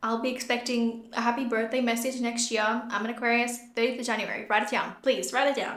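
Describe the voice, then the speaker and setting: With an Australian accent, a woman speaks at a fairly quick pace and a fairly high pitch. Her pitch variation is ordinary, and audible room echo surrounds her voice. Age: 20s. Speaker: podcast host and beauty business owner. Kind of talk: casual solo podcast talk. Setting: empty room.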